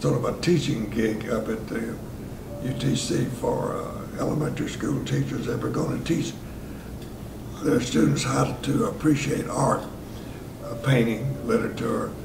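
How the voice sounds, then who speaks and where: A man with a Southern US accent speaks at a moderate pace amid noticeable background noise and audible room echo. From US South, Tennessee (Chattanooga). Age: 80s+. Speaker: retired radio host and jazz enthusiast. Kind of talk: storytelling interview. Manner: halting with frequent fillers.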